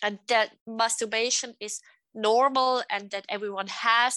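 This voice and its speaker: A woman's unremarkable speaking voice, fairly high in pitch, fairly slow, with fairly even intonation. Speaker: psychotherapist and sexologist. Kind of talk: interview, advice.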